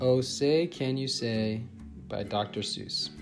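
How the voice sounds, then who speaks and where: A man's voice with music in the background. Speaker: teacher. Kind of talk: casual talk to camera.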